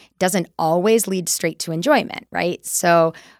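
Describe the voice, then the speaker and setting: A woman with an American accent speaks at a fairly low pitch in a very clean recording with a silent background. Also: dry, close sound with no echo. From US Midwest, Wisconsin. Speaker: nutrition director and dietitian. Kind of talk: casual interview conversation.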